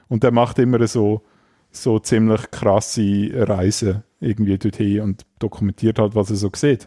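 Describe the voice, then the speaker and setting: A man with a Swiss accent speaks at a fairly slow pace in a fairly low pitch and a dark, mellow tone, his intonation monotone and flat, with a dry, close sound with no echo on a very clean recording over a silent background. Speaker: podcast co-host. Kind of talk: casual chat.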